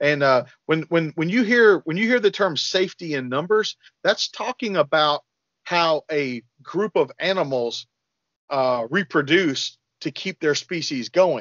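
A man with a normal speaking voice and fairly high pitch talks at a fairly slow pace with lively intonation, the sound dry with no echo over a quiet background. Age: 40s. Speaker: firearms and self-defense trainer; self-defense trainer. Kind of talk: podcast interview. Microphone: video call.

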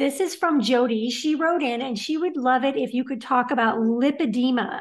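A woman talks with a high pitch and ordinary pitch variation. Her pace is moderate, with hardly any pauses. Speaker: show host. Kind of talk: live stream Q&A moderation. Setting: video call. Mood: friendly, smiling. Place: home room. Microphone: video call.

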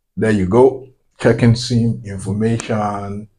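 A man with a plain, everyday voice, fairly low in pitch, at a fairly slow pace. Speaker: tech tutorial maker. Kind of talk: tutorial. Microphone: phone near.

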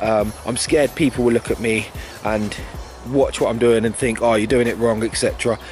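A man talks at a moderate pace over clear background music. The sound is dry, with no echo. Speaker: fitness vlogger. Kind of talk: casual vlog chat. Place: open country. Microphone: phone near.

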